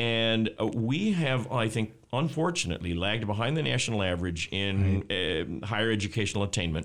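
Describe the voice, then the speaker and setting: Fairly quick and very even in loudness, a man with a plain, everyday voice speaks at a fairly low pitch with lively intonation. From Texas. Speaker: economics professor. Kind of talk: interview. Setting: studio.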